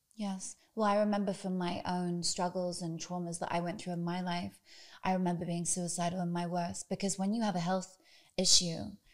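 With a British accent, a woman speaks at a moderate pace and a medium pitch. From Britain. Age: 30s. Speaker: podcast host. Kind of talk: interview. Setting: guest's home.

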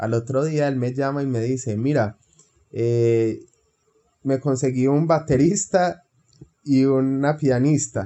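Pitched at a medium level, a man speaks in an unremarkable speaking voice with ordinary pitch variation. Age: 30s. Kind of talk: casual interview.

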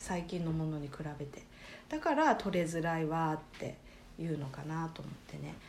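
With audible room echo, a woman speaks at a moderate pace in a fairly low pitch and fairly even intonation. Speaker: life coach. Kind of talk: casual chat.

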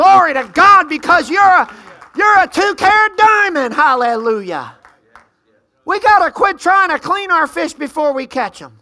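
A woman with an extremely high pitch and lively intonation uses a raised, projected voice at a moderate pace, with big swings in loudness. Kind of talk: sermon. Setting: church with congregation. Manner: animated, call-and-response, exhorting the congregation; loud, fervent, punctuated by praise shouts.

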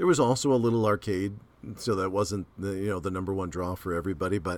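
Using a plain, everyday voice, this man moves along at a fairly quick pace, his pitch varying in an ordinary way. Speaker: podcast host. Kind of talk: casual chat, gaming podcast.

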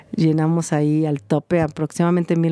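A woman with a very deep, low pitch and a dark, mellow tone talks at a moderate pace in a monotone, flat intonation. The sound is dry and close with no echo, on a very clean recording with a silent background. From Mexico. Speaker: cultural events organizer. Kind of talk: interview.

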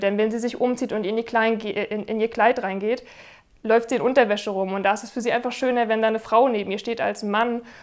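This woman has a fairly high pitch and a monotone, flat intonation. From northern Germany, Rostock. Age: 30s. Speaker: wedding videographer. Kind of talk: testimonial interview.

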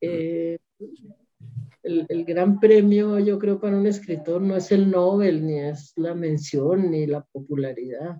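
A woman with a fairly low pitch and ordinary pitch variation speaks at a very slow pace. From Colombia, Bogotá. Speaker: novelist. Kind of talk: interview.

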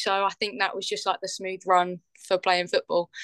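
In an English accent, a woman speaks at a moderate pace and medium pitch with a bright, sharp tone, recorded with a dry, close sound with no echo against a quiet background. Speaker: professional footballer. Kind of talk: interview.

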